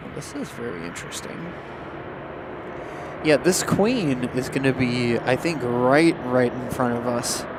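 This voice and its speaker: A man speaks at a fairly slow pace with long, frequent pauses and big swings in loudness. Noticeable background noise runs underneath. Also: medium pitch for a man, ordinary pitch variation. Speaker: plane spotting livestream commentator. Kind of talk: live commentary.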